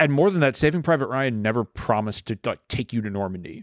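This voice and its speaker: Over a very clean recording with a silent background and a dry, close sound with no echo, a man with an American accent talks at a fairly quick pace with lively intonation in a normal speaking voice. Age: 40s. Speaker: war veteran. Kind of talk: casual chat.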